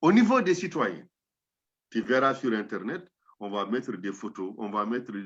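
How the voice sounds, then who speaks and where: A man at a moderate pace with lively intonation. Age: 60s. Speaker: professor, anthropologist. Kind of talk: interview.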